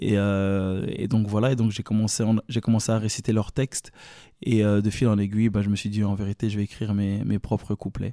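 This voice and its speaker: A man speaks at a moderate pace in a fairly low voice with a dark, mellow tone and flat, monotone intonation. The recording is very clean and dry, close with no echo, and the background is silent. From Belgium, Brussels (Evere). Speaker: rapper. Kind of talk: casual interview chat.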